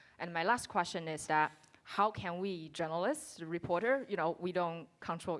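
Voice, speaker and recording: With a Chinese accent, a woman talks at a moderate pace in a fairly low pitch. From China. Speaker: audience member, reporter. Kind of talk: audience question. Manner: halting.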